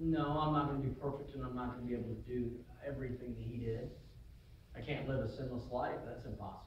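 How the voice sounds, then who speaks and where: A man's very fast, flat monotone, with audible room echo and light background noise. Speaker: preacher. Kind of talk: sermon with invitation to the altar. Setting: church. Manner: earnest, exhorting, pleading; repetitive, stumbling with restarts. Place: church. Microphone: camera far.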